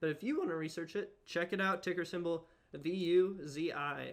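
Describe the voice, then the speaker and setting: Bright and sharp in tone, a man speaks with fairly even intonation. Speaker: stock investing streamer. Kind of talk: casual live stream chat. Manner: fast.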